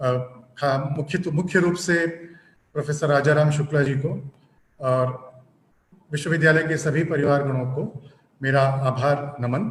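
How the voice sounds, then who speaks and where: A man with a fairly high pitch speaks in a somewhat breathy voice with fairly even intonation, and audible room echo surrounds him. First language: not Hindi (speaking Hindi). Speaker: guest lecturer. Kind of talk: lecture. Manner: halting; formal.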